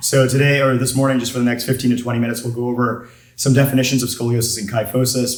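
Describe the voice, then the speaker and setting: A man talking at a very fast pace amid audible room echo. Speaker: orthopedic surgeon. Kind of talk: lecture.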